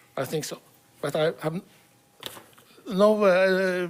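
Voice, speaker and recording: A man with a high voice and ordinary pitch movement speaks against noticeable background noise. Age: 60s. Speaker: professor sharing patient experience. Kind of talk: testimony. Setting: stage with audience. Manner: reading from a manuscript; halting, many fillers.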